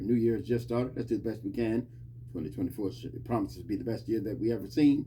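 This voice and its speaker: The voice has a dark, mellow tone with vocal fry and moves at a very fast pace. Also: man. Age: 60s. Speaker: podcast host giving Bible talk. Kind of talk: informal Bible teaching monologue. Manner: repetitive, emphatic.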